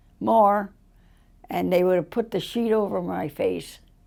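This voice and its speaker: A woman speaks with a Chicago accent. The recording is very clean, with a silent background. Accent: Chicago American English. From US Midwest, Chicago. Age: 80s+. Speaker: interviewee. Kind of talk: life story interview.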